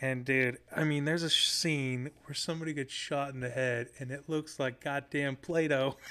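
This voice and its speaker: A fairly high-pitched male voice at a moderate pace, flat and monotone, with hardly any pauses. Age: 30s. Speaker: rock musician. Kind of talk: casual chat. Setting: detailing shop podcast setup.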